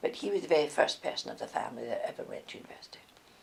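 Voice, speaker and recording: A woman with a Scottish accent is heard over noticeable background noise. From Scotland. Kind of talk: life story interview answer.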